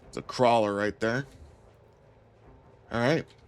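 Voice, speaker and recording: Noticeable background noise accompanies the recording. A man talks at a fairly slow pace. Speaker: gaming streamer. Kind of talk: live gameplay commentary. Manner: animated.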